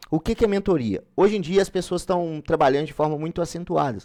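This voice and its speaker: A man with ordinary pitch variation. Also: very clean recording, silent background. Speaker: online exam-prep mentor. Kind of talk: live-stream sales pitch and course explanation. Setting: live stream. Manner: fast.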